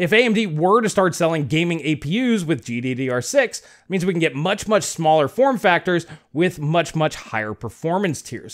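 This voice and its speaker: A man speaks at a moderate pace with very wide pitch swings. The background is quiet. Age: 40s. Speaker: tech YouTuber. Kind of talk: video commentary. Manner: conversational. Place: home room. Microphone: studio mic.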